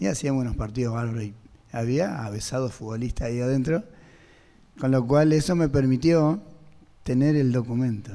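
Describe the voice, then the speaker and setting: A man in a dark, mellow tone speaks at a moderate pace with long, frequent pauses. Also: medium pitch for a man, ordinary pitch variation. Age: 60s. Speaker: singer. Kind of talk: testimony. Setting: radio auditorium with audience.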